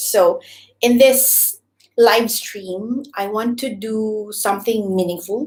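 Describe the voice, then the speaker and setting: A woman with a Visayan Filipino accent. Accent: Filipino (Cebuano) English. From Philippines, Cebu. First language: Cebuano (Bisaya). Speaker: YouTuber, former teacher. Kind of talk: live stream chat. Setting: live stream. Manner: hesitant, filler-heavy.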